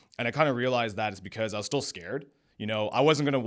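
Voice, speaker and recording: A man talking at a very fast pace, on a very clean recording with a silent background. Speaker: entrepreneur, company founder. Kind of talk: podcast interview.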